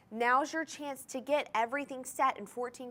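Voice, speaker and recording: A woman talks in an animated tone, captured on a very clean recording with a silent background. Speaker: shopping channel host. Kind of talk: sales pitch.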